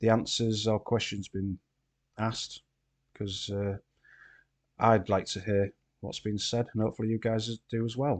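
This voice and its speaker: In a Yorkshire accent, a man with a fairly low pitch talks at a moderate pace in a monotone, flat intonation, with long, frequent pauses, in a dry, close sound with no echo against a quiet background. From Yorkshire, England. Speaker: podcast host and streamer. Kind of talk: casual chat.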